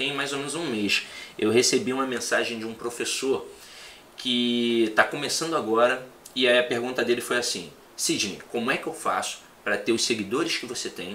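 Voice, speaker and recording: The voice has a bright, sharp tone, moving at a moderate pace with audible echo from the room. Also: man. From Rio de Janeiro, Brazil. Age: 30s. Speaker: teacher. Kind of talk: casual chat.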